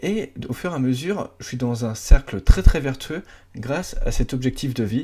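At a fairly slow pace, a man speaks with a medium pitch, a dark, mellow, somewhat breathy tone and lively intonation. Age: 20s. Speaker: podcast host, self-development. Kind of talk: solo monologue podcast, casual. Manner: casual, informal, with hesitations.

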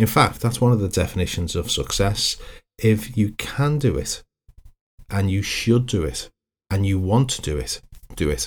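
Over a silent background in a very clean recording, a man speaks at a moderate pace with lively intonation, a somewhat breathy voice and long, frequent pauses. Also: fairly low pitch for a man. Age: 50s. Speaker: hypnotherapist and counsellor. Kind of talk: solo podcast monologue.

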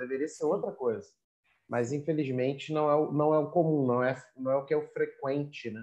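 A man's voice sits at a fairly high pitch with a dark, mellow tone. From Rio de Janeiro, Brazil. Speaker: academic writing coach, podcast host. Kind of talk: interview. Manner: enthusiastic.

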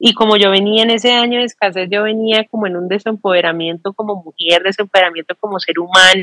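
Talking very fast with hardly any pauses, a woman keeps a medium pitch and fairly even intonation in a dry, close recording with no echo. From Colombia, Bucaramanga. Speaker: business and life coach. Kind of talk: interview conversation.

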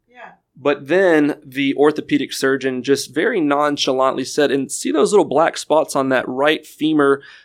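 Fairly high-pitched with ordinary pitch variation, a man with an American accent has an unremarkable speaking voice. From Houston, Texas. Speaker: former contestant on dating show, amputee athlete. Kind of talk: casual chat.

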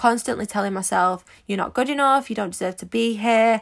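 A woman with a Manchester accent at a fairly quick pace, on a very clean recording with a silent background. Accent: Manchester English, fairly noticeable. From Manchester, England. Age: 20s. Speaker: podcast host, social media entrepreneur and mentor. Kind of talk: motivational solo podcast monologue. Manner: upbeat, enthusiastic, positive.

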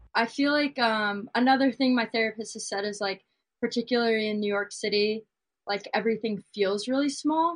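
A woman's fairly high voice at a fairly quick pace, a plain, everyday voice with ordinary pitch variation, over a quiet background. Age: 20s. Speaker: singer-songwriter. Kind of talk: casual chat.

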